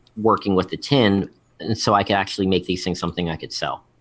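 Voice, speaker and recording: This man talks at a fairly quick pace with an American accent. His fairly low voice stays monotone, with flat intonation. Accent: Philadelphia accent, noticeable to others. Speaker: vape show host and guest. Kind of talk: casual chat. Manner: halting, many fillers and restarts.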